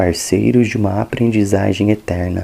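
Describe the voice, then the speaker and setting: A calm man at a fairly slow pace, fairly low in pitch, with monotone, flat intonation. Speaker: ASMR creator. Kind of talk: ASMR book reading for relaxation. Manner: soft-spoken, calm.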